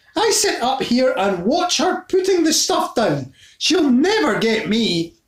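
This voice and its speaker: In a put-on character voice, the speaker sounds high and shrill, with very wide pitch swings at a fairly slow pace. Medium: read story. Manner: shrieking, scolding.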